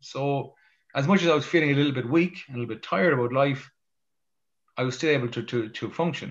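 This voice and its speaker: A man's fairly high voice with an Irish accent, a very fast pace and long, frequent pauses. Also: ordinary pitch variation. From Ireland. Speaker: motivational speaker. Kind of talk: interview storytelling. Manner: halting, with frequent repetitions.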